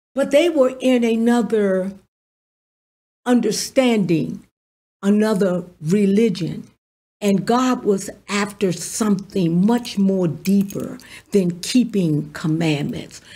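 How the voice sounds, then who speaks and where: A woman speaks at a very slow pace with ordinary pitch variation. Her tone is dark and mellow and somewhat breathy. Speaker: pastor. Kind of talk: sermon. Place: studio. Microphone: studio mic.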